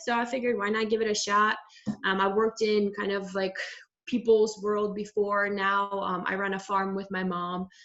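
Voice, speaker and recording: The speaker has a slight Russian accent and a moderate pace with ordinary pitch variation. Noticeable background noise runs behind the voice. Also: woman. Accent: very slight Russian. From Russia, moved to Maryland at eleven. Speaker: farmer and fitness program participant. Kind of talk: casual chat.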